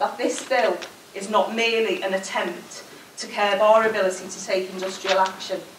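A woman talks at a moderate pace. There is audible room echo and light background noise. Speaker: trade union regional convenor. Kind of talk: conference closing speech. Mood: forceful, rallying. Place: hall. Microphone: podium.

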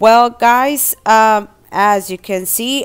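With faint music playing behind her, a woman speaks at a very slow pace. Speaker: couponing vlogger. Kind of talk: casual vlog chat. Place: car. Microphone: phone near.

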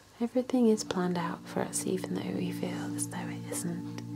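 Clear music plays behind a woman speaking at a fairly quick pace. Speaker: relaxation video host. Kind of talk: soft-spoken guided relaxation. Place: home room. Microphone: webcam.

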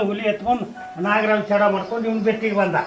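With audible room echo and noticeable background noise, a man talks at a high pitch in a monotone, flat intonation. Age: 80s+. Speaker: village elder. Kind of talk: storytelling interview.

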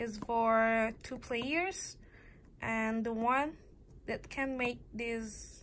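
A woman with an Indonesian accent, fairly high in pitch, at a very slow pace over light background noise. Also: ordinary pitch variation. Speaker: student vlogger; toy reviewer. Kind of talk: casual show-and-tell vlog; casual vlog chat. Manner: halting, many pauses and fillers. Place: home room. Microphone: phone near.

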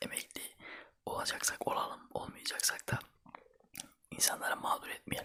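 A man whispering at a moderate pace. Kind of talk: casual talk to camera, ASMR-style chat. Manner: whispered, soft-spoken.

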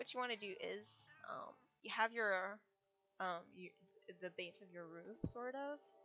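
A woman's fairly high voice at a fairly slow pace, with ordinary pitch variation, big swings in loudness, long and frequent pauses, and music in the background. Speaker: gaming tutorial creator. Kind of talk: casual game tutorial voiceover. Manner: hesitant, many fillers.

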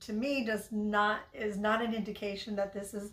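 Fairly slow speech from a woman, audible room echo behind her. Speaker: thrift reseller vlogger. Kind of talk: casual vlog chat. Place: kitchen. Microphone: phone near.

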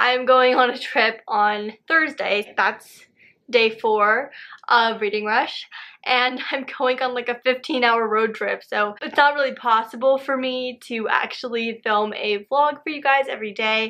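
Speaking at a fairly slow pace, a woman has a high pitch, a bright, sharp tone and fairly even intonation, with a quiet background. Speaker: book vlogger. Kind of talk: casual talk to camera. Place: home room. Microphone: phone near.

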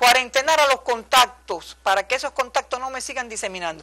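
A woman speaks with a high pitch and a bright, sharp tone. Her intonation is lively, and the background is quiet. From Cuba. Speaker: epidemiologist; guest. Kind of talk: TV interview. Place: studio. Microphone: lapel.

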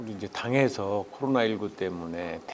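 A man with an ordinary speaking voice talks at a moderate pace. His pitch is fairly low and his intonation lively. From South Chungcheong, South Korea. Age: 60s. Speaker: politician, parliamentary candidate. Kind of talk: interview answer.

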